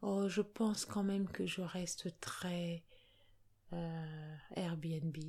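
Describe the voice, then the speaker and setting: A woman speaks very slowly in a fairly low, dark, mellow voice that is somewhat breathy. Her intonation is fairly even, with long, frequent pauses. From Cameroon, Yaoundé. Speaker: healthcare worker. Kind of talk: casual interview.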